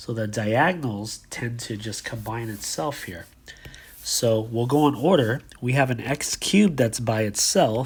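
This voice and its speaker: A somewhat breathy man at medium pitch, fairly slow pace and ordinary pitch variation. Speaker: math teacher. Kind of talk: tutorial.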